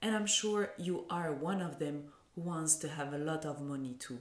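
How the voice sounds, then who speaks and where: A woman speaks in a French accent at a fairly slow pace. Her pitch variation is ordinary. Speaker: podcast host, mindset coach. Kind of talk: interview.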